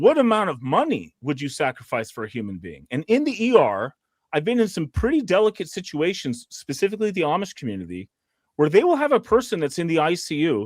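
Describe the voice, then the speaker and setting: A man with an American accent talks fairly quickly in a fairly high voice, his pitch swinging very widely. The recording is very clean with a silent background, and the sound is dry and close with no echo. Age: 40s. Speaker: emergency physician. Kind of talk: casual panel discussion. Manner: halting, with many repetitions and fillers.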